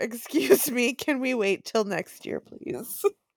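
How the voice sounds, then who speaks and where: A woman with a Wisconsin accent, high-pitched, with lively intonation at a very slow pace, on a very clean recording with a silent background. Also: dry, close sound with no echo. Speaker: podcast co-host.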